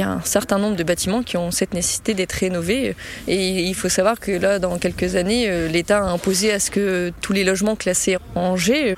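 Over noticeable background noise, a woman talks fairly quickly with fairly even intonation. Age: 30s. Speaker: construction engineer. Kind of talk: interview. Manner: hesitant, many fillers.

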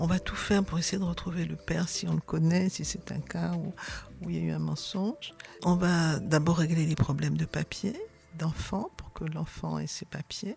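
Noticeable background noise sits under a woman talking at a moderate pace. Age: 70s. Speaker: charity founder. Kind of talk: interview. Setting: charity centre. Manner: halting.

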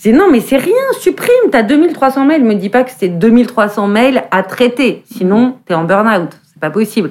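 Fairly high-pitched woman with an ordinary speaking voice, lively intonation, big swings in loudness and a fairly slow pace. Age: 40s. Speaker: fashion journalist and eco-movement co-founder. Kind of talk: casual conversation.

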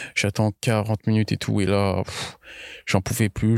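A man's fairly low voice at a fairly slow pace, dry and close with no echo, on a very clean recording with a silent background. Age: 20s. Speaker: accident survivor. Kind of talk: interview testimony. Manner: casual, halting with fillers.

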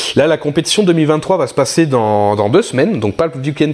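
Over noticeable background noise, a man speaks with lively intonation at a moderate pace. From southeastern France. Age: 30s. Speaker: airsoft sniper and youtuber. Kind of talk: casual interview chat. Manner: hesitant, many fillers.

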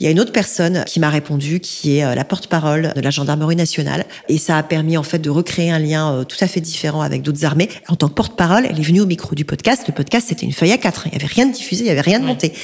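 A woman with a very deep, low voice talks at a very fast pace with lively intonation and hardly any pauses, over noticeable background noise. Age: 40s. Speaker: executive recruiter and podcaster. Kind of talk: interview.

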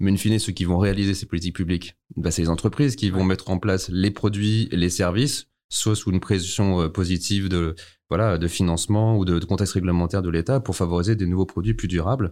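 Against a silent background on a very clean recording, a man with a very deep, low voice and a dark, mellow tone speaks very fast with fairly even intonation. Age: 40s. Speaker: startup founder. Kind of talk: interview.

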